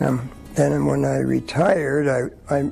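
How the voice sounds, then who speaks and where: A man is speaking. Music plays in the background. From Quebec, Montreal area. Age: 70s. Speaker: retiree. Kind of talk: interview talk. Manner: halting.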